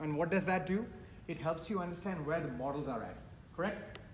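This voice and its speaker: Speech comes at a very fast pace with ordinary pitch variation, audible room echo and noticeable background noise. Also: man. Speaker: architect and VDC manager, panel speaker. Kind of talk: conference presentation.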